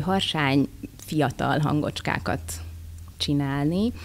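A woman with vocal fry speaks at a very deep, low pitch. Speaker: voice actress. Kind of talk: interview. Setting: convention. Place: hall. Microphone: studio mic.

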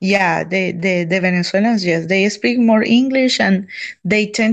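Over a quiet background, a woman speaks at a fairly slow pace and medium pitch with fairly even intonation. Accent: Colombian. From Colombia. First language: Spanish. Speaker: YouTuber on dating in Colombia; interview guest. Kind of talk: casual interview on live stream. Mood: cheerful, smiling. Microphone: video call.

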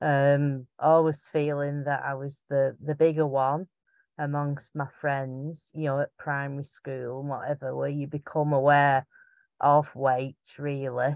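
A woman's extremely low voice in a strong Lancashire accent, fairly slow, with little pitch movement and a dry, close sound with no echo. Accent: strong Bolton, Lancashire.

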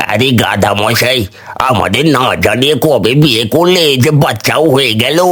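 This man uses a cartoonish character voice at a medium pitch, speaking at a moderate pace. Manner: sarcastic, menacing.

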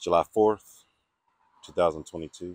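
A man speaks at a very deep, low pitch with ordinary pitch variation. The sound is dry with no echo over a quiet background. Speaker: vlogger visiting a grave. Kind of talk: casual vlog chat. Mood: reflective, respectful. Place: open country. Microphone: phone near.

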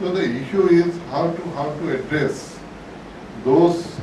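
Audible room echo and noticeable background noise surround a man as he speaks. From India. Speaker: lawyer. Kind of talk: symposium speech. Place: hall. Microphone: podium.

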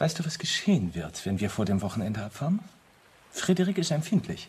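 In a put-on character voice, a man talks at a fairly quick pace and fairly low pitch, his slightly mellow tone carrying a husky, rough edge and big pitch swings.

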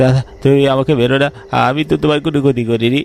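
A man's shaky, put-on character voice at a medium pitch, with fairly even intonation and a moderate pace. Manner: pleading, scared.

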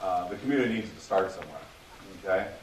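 A man's voice with ordinary pitch variation, heard through audible room echo and noticeable background noise. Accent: American. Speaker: community focus group member presenting. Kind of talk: public presentation at council meeting. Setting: public meeting room with audience. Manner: halting, many repeated words.

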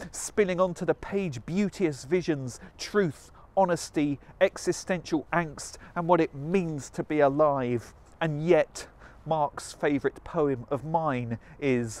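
Recorded dry with no echo, a man speaks at a very slow pace with ordinary pitch variation. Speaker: spoken word poet. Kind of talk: performance poetry. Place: waterside. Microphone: lapel.

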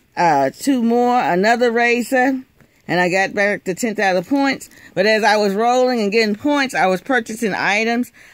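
The pace is moderate. The sound is dry, with no echo. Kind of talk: casual haul vlog narration. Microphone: phone near.

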